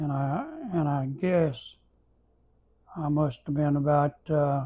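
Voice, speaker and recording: A man's somewhat breathy, dark and mellow voice, fairly high in pitch, at a very slow pace with an Arkansas accent. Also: fairly even intonation. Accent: Southern US (Arkansas) rural. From Arkansas, US South. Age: 80s+. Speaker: elderly storyteller. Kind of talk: casual reminiscing interview. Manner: halting, with many repetitions and fillers.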